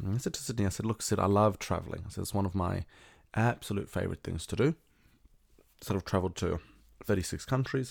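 On a very clean recording with a silent background, a man talks at a very fast pace, his fairly low pitch showing ordinary variation. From South Africa. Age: 20s. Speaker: podcast host. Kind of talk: casual solo monologue.

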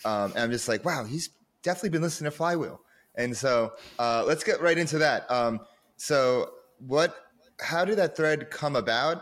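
Lively intonation at a moderate pace, broken by long, frequent pauses. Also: man, fairly high pitch for a man. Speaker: podcast host. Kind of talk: casual interview chat. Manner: animated.

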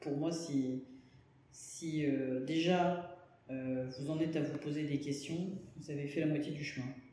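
Over audible room echo, a man with a fairly high pitch speaks at a very slow pace in a monotone, flat intonation, leaving long, frequent pauses. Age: 50s. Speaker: engineer. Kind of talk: interview. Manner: halting.

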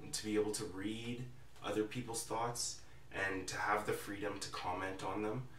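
Monotone, flat delivery at a moderate pace, with audible room echo and noticeable background noise. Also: man. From Alberta, Canada (Calgary). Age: 20s. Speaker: student podcast host. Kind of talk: casual chat. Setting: in-person studio room with remote co-host on video call.

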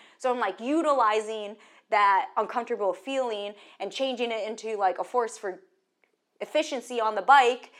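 With ordinary pitch variation and a moderate pace, a plain, everyday voice comes through on a very clean recording with a silent background. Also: woman, fairly high pitch for a woman. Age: 30s. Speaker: paracyclist. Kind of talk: casual chat.

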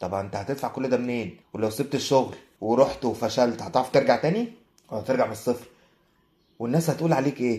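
The speaker talks at a fairly quick pace with an Egyptian accent. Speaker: photographer. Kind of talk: casual chat.

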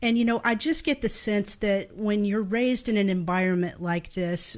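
A plain, everyday voice from a woman with an American accent, medium in pitch, at a moderate pace with ordinary pitch variation. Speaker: podcast co-host and musician. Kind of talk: casual live interview. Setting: video call, live stream.

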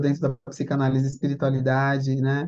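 A woman speaks with a dark, mellow tone. Her pitch runs very deep and low. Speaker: therapist and spiritual counselor. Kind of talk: casual chat.

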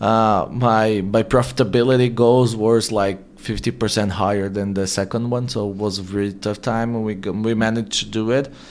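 Speaking at a fairly quick pace with hardly any pauses, a man with a Portuguese accent keeps a fairly low pitch and fairly even intonation. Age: 30s. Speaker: marketing agency CEO. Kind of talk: interview.

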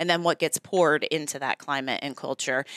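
A woman with a very deep, low pitch speaks at a moderate pace with ordinary pitch variation, her voice dry and close with no echo on a very clean recording over a silent background. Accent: American. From US, Virginia (Newport News). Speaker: school district administrator. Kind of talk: interview.

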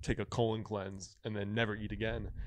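This man has a normal speaking voice. His pitch is fairly low and his pace fairly quick. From Connecticut, Stamford area. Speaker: traditional Chinese medicine doctor and author. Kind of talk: casual chat.

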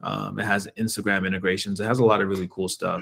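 A man with an American accent talks at a fairly low pitch with fairly even intonation, in a normal speaking voice. The recording is very clean, with a silent background. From Washington DC area, Maryland. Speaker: independent musician. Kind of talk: casual interview.

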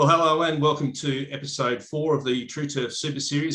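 A man speaks with an Australian accent. His pace is moderate and his intonation fairly even. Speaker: podcast host, turf company manager. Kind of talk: casual interview.

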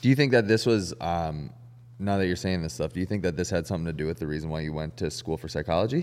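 A man's very deep, low voice with vocal fry, lively intonation and a very fast pace. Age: 30s. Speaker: podcast host. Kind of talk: casual chat.

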